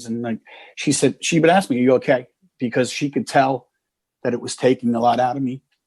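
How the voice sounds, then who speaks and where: A man speaks at a medium pitch and a fairly quick pace, with long, frequent pauses and fairly even intonation, in a dry, close recording with no echo and a quiet background. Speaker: military veteran. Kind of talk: interview answer. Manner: hesitant, reflective.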